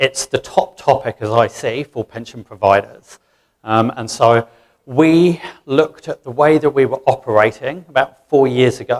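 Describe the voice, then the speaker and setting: An English accent comes through at a moderate pace, with big swings in loudness. The sound is dry and close, with no echo. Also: man, medium pitch for a man, ordinary pitch variation. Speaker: financial services manager. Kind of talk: conference presentation.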